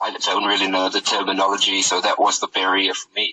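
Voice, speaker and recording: With a South African accent, a man talks at a fairly quick pace. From South Africa, Cape Town. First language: Afrikaans. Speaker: rapper and music producer. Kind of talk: interview. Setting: phone call.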